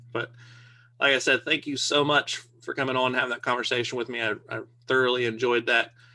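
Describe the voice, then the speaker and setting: A man speaks at a fairly quick pace with a bright, sharp tone and medium pitch. The background is quiet. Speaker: military veteran podcast host. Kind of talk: podcast outro. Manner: halting.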